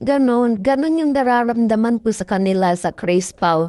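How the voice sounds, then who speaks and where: A woman speaks at a moderate pace in a dark, mellow tone with ordinary pitch variation against a quiet background. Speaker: fan commentary vlogger. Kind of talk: casual fan commentary over video. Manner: animated, gushing.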